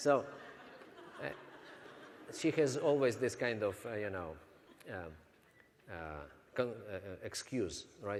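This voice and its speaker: This man speaks at a moderate pace with a non-native accent. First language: not English. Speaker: network marketing trainer. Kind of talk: business training seminar.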